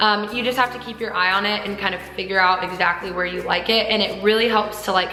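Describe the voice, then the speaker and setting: Fairly high and animated, a woman's voice rushes at a very fast pace amid audible room echo and noticeable background noise. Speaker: lifestyle vlogger. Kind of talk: casual haul vlog.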